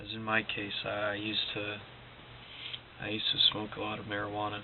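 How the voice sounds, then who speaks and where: Amid noticeable background noise and audible room echo, a man talks in a fairly low pitch with monotone, flat intonation. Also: fairly quick pace. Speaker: motivational vlogger. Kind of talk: casual motivational monologue. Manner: quiet, low-energy; halting, repetitive.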